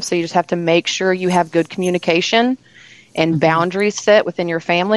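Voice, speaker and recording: An ordinary speaking voice with fairly even intonation, in a dry, close sound without echo. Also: woman. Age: 30s. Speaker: spa owner and permanent makeup artist. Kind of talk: interview conversation.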